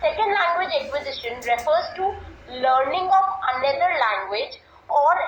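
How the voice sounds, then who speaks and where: A speaker with an Indian accent is heard with audible room echo and music in the background. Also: woman. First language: Hindi. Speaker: English language teacher. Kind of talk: lecture. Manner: formal.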